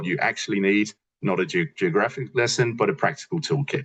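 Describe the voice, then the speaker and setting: Somewhat breathy, a man talks at a medium pitch with lively intonation and a fairly quick pace. The sound is dry and close, with no echo. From New Zealand and Britain. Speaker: market entry consultant. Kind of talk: business webinar presentation. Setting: video call. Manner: hesitant, many repeated words and fillers.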